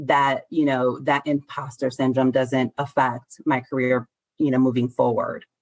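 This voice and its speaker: A woman is recorded with a dry, close sound and no echo. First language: Spanish. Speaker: elder law attorney. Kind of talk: interview.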